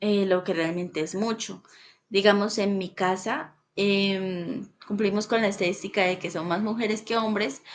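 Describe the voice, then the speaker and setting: A woman speaks fairly slowly, her intonation fairly even. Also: medium pitch for a woman. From Colombia, Bucaramanga (Santander). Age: 20s. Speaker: student. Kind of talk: class presentation. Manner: halting, with fillers.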